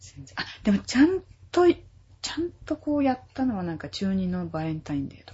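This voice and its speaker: This woman speaks fairly fast. The volume of her voice rises and falls sharply. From Tokyo area (grew up in Urayasu). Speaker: singer-songwriter, classically trained. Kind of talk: interview chat.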